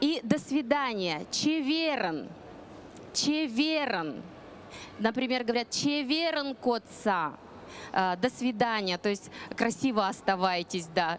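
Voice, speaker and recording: The sound is dry, with no echo. A woman is heard over light background noise. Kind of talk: lively presentation to an audience. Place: stage. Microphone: handheld.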